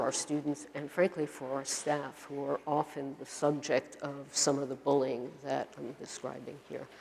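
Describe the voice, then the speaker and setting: With a Brooklyn accent, a woman speaks at a moderate pace in a very deep, low pitch. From US Northeast, Brooklyn, New York. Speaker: university administrator and professor. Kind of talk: lecture.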